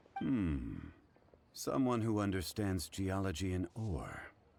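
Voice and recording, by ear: In a put-on character voice, a man speaks slowly at a low pitch with vocal fry, big pitch swings and a slightly mellow tone.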